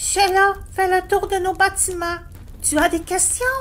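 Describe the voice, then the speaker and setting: A put-on character voice at an extremely high pitch. Clear background noise sits behind it. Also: moderate pace. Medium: audio drama. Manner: friendly, helpful.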